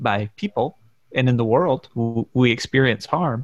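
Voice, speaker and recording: At a moderate pace, a man with an American accent speaks at medium pitch in an unremarkable speaking voice. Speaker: podcast host. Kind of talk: casual podcast discussion.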